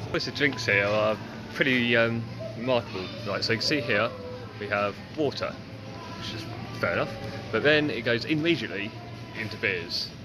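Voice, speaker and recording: A man at a fairly quick pace with ordinary pitch variation, clear music in the background. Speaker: travel vlogger. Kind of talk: casual vlog chat. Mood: amused, wry. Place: shop. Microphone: phone near.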